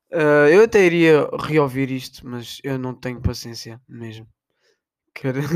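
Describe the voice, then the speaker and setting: In a European Portuguese accent, a man with a fairly high voice speaks fairly slowly, showing ordinary pitch variation and big swings in loudness, on a very clean recording with a silent background. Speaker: podcaster. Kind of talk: casual monologue.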